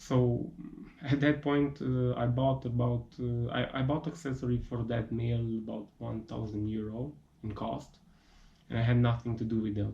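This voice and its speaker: A man's somewhat breathy voice at a medium pitch moves at a moderate pace with fairly even intonation. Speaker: hobbyist metalworker. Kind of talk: casual talk to camera.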